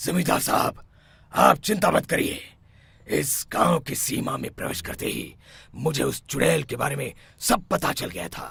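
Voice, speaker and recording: A man does a raspy, cartoonish character voice at a fairly high pitch and moderate pace. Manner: authoritative, assured.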